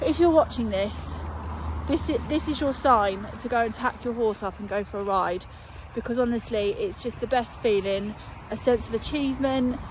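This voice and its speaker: A woman talks at a moderate pace with ordinary pitch variation. The sound is dry with no echo, though there is noticeable background noise. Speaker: equestrian vlogger. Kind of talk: casual vlog chat. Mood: cheerful, chatty. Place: open country. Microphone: phone near.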